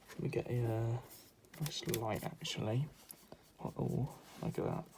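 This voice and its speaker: Soft-spoken, a man talks at a fairly slow pace. His pitch is medium. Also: ordinary pitch variation. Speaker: art content creator. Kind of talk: drawing tutorial commentary. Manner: calm.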